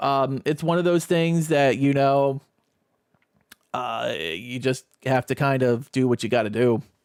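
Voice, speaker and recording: A man with lively intonation. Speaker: gaming streamer. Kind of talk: casual chat. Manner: loud; halting. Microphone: new microphone, out of the box.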